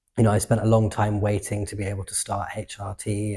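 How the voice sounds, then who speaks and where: Fairly quick and somewhat breathy, a man speaks with a southern English accent in a dark, mellow tone at fairly low pitch. His intonation is monotone and flat, on a very clean recording with a silent background. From England. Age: 20s. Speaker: activist and artist. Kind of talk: interview answers. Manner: conversational with fillers.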